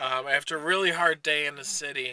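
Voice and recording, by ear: Bright, sharp and also clear and smooth in tone, the voice moves at a fairly quick pace with fairly even intonation. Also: man, fairly high pitch for a man.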